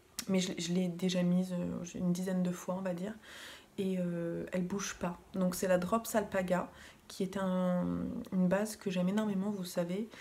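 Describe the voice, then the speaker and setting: A woman is soft-spoken. She keeps a moderate pace. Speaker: knitting vlogger. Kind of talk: casual vlog talk. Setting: at home in living room.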